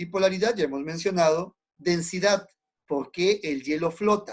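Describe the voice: Lively intonation marks this man's high-pitched voice. He speaks at a moderate pace.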